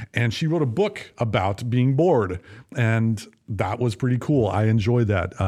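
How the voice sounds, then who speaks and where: A man with a normal speaking voice and an American accent talks at a moderate pace and medium pitch. His pitch variation is ordinary, and the background is quiet. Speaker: podcast co-host. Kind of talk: casual chat. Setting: studio.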